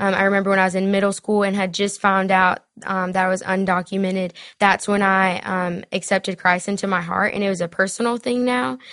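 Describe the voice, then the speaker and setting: This woman has a Southern US accent and a fairly quick pace. Her intonation stays fairly even. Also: medium pitch for a woman, quiet background. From South Carolina. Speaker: DACA recipient, dreamer advocate. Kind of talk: interview telling personal story.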